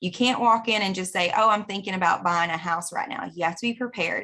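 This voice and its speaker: Her tone is bright and sharp. The woman speaks at a medium pitch with ordinary pitch variation. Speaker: real estate broker. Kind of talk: market update video. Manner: fast.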